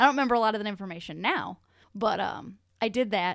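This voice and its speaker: A woman's medium-pitched voice, an ordinary speaking voice with ordinary pitch variation, in a very clean recording with a silent background. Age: 20s. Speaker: podcast co-host. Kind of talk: casual chat.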